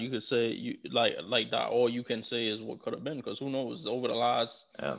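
A man at a fairly quick pace, with a New York accent. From New York City. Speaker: podcast co-host. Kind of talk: casual chat. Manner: halting, many fillers.

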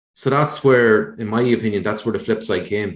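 A man's medium-pitched voice with an Irish accent, fairly even intonation and a moderate pace. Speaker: podcast co-host, analyst. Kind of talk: casual chat. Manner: measured, analytical.

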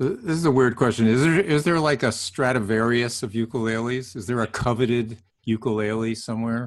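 A man's ordinary speaking voice at medium pitch, with ordinary pitch variation and hardly any pauses. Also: fairly quick pace. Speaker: podcast co-host. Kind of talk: casual interview chat.

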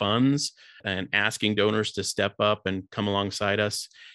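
A man speaks at a moderate pace with a fairly low pitch. His tone is bright and sharp. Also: very clean recording, silent background. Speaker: charity co-founder. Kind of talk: interview.

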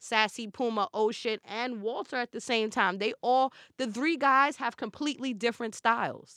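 A woman talks at a moderate pace with a New York accent. The recording is very clean, with a silent background and a dry, close sound with no echo. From Brooklyn, New York. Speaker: celebrity stylist. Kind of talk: casual chat.

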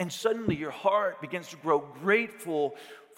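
Unforced voice, reading

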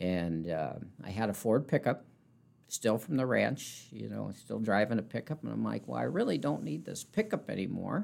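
In an Upper Midwest accent, a man talks at a medium speed. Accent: Upper Midwest American. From South Dakota, rural north central. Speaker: car dealership manager. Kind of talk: interview.

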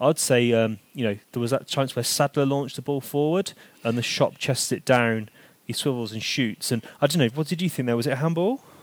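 This man has an unremarkable speaking voice, medium in pitch with ordinary variation, and talks at a fairly quick pace. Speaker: football podcast host. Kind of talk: casual chat.

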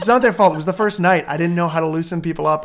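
On a very clean recording with a silent background, a man speaks in an energetic tone, his high voice showing ordinary pitch variation. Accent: Ontario. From Hamilton, Ontario, Canada. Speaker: pastor and church planter. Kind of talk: interview. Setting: at home.

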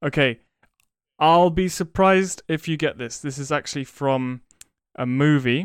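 At a moderate pace broken by long, frequent pauses, a man speaks with a fairly high pitch and ordinary pitch variation. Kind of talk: casual chat. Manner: relaxed, hesitant, with many fillers.

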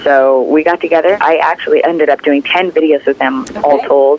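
A woman speaks at a fairly quick pace with a very deep, low pitch. Noticeable background noise sits behind her. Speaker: singer. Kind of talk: interview.

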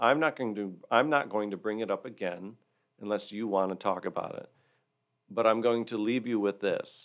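With an American accent, a man speaks at a moderate pace and a medium pitch. He has an ordinary speaking voice. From Michigan, Hillsdale County. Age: 40s. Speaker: church board member. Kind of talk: personal testimony in interview.

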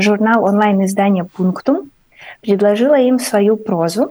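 A woman talks at a fairly high pitch with ordinary pitch variation. Hers is an unremarkable speaking voice. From Ukraine. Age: 30s. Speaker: artist and writer. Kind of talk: radio interview. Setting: remote call into radio studio.

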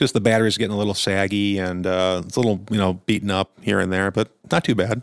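A man with a fairly low pitch talks at a very fast pace with hardly any pauses and fairly even intonation on a very clean recording with a silent background. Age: middle-aged. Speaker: podcast co-host. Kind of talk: casual chat.

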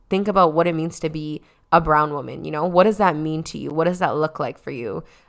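A woman with a Toronto accent talks at a fairly quick pace and a fairly low pitch in a very clean recording with a silent background. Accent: Canadian (Toronto). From Toronto, Canada (Scarborough), Trinidadian family. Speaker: podcast host and founder of a community organization. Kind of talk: casual group discussion.

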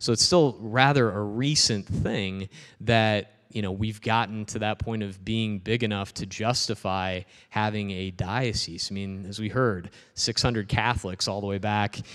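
Over a quiet background, a man with an unremarkable speaking voice talks at a moderate pace. His pitch is fairly low and his intonation fairly even. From Peoria, Illinois. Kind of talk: public talk. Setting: parish hall with audience.

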